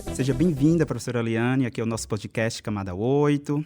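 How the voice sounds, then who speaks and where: On a very clean recording with a silent background, a man with a northeastern Brazilian accent talks at a very fast pace in a dark, mellow tone. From Brazil, Northeast. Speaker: podcast co-host. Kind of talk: podcast interview.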